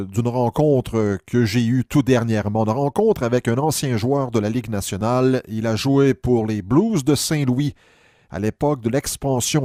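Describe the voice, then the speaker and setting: A man at a fairly slow pace, medium in pitch with ordinary pitch variation, on a very clean recording with a silent background. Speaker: sports history commentator. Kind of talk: casual spoken recap of an interview. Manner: hesitant, many filler sounds.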